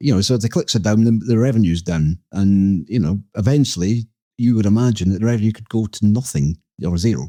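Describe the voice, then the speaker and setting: A dark, mellow tone comes with a Scottish accent and lively intonation. The pace is fairly quick, in a dry, close sound with no echo. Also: man. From Scotland. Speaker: podcast co-host. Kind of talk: casual chat. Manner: halting.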